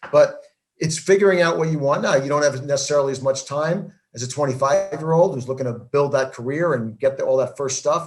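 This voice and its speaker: A man with an American accent talks with hardly any pauses. His voice is somewhat breathy. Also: fairly high pitch for a man, ordinary pitch variation. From New Jersey. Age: 60s. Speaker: network marketing entrepreneur. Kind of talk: interview.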